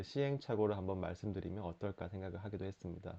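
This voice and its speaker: With a slight Busan accent, a man with a fairly low pitch talks at a very fast pace with fairly even intonation. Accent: slight Busan dialect under Seoul speech. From Busan, South Korea. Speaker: writer, lawyer and culture critic. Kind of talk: casual talk to camera.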